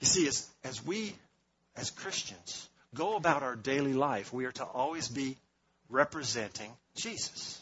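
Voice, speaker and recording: This man has a fairly high pitch and lively intonation. His pace is fairly slow. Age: 50s. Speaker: guest preacher. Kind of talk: sermon. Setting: church. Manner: animated.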